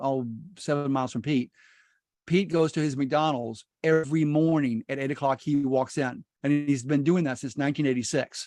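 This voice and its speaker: Recorded with a quiet background and a dry, close sound with no echo, a man speaks at a moderate pace and fairly high pitch in an ordinary speaking voice. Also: fairly even intonation. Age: 60s. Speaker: real estate investor. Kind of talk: casual chat. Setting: video call.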